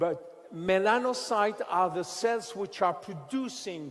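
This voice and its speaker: Against noticeable background noise, a man speaks very slowly with a French accent. His pitch is high and his intonation lively. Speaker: scientist presenting a skincare product. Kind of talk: product presentation lecture. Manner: halting.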